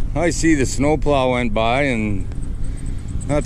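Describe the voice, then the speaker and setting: Noticeable background noise sits behind a man's voice. The sound is dry with no echo, and his pitch varies in an ordinary way. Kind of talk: casual vlog chat. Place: open country. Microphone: camera far.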